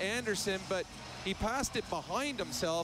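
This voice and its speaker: A man speaks in a high pitch. Noticeable background noise can be heard behind him. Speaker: radio color analyst. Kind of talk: live sports color commentary, casual banter. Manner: conversational, reactive, a bit wry.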